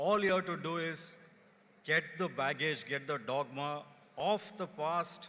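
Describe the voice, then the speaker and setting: In a Kannada accent, a man speaks at a fairly slow pace with a bright, sharp tone and ordinary pitch variation. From India, rural Karnataka. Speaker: company executive. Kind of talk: convocation speech. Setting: stage with audience.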